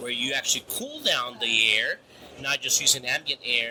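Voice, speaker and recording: A man keeps a moderate pace despite noticeable background noise. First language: Spanish. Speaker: grain storage specialist. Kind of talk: interview. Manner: halting, many repetitions.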